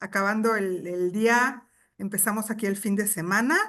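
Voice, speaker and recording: A woman speaks in a Mexican accent with a bright, sharp tone. She talks at a fairly slow pace against a quiet background. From Mexico. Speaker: business chamber executive director. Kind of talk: webinar talk.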